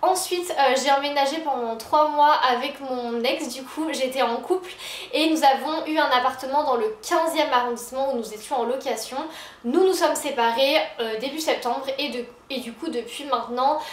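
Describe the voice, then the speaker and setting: Against noticeable background noise and audible room echo, a woman speaks at a high pitch and a moderate pace with ordinary pitch variation. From Paris region, France (Versailles suburbs). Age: 20s. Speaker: lifestyle YouTuber. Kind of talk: casual vlog talk to camera.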